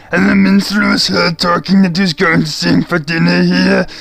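With clear music playing behind him, a man performs a put-on character voice at a high pitch. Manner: blunt, accusing.

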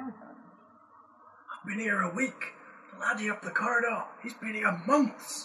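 The voice is a put-on character. Its pitch is fairly high and its pace fairly slow.

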